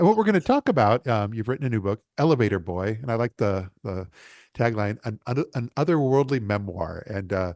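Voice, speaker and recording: Against a quiet background, a man with an American accent talks fairly quickly at a medium pitch with lively intonation, the sound dry and close with no echo. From Los Angeles. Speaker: interview show host. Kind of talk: interview. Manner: halting, many fillers and restarts.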